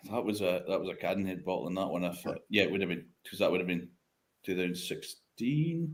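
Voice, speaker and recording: A man with a northeast Scottish accent talks at a fairly quick pace. His voice is very deep and low, with lively intonation. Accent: broad northeast Scottish. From Scotland, Speyside (Craigellachie). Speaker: whisky industry veteran and independent bottler. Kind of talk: casual chat.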